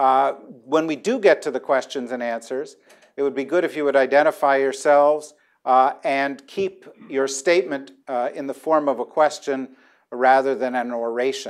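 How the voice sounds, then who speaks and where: With ordinary pitch variation, a man talks at a moderate pace over a quiet background. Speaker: debate moderator. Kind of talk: moderator introduction to audience. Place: hall. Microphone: lapel.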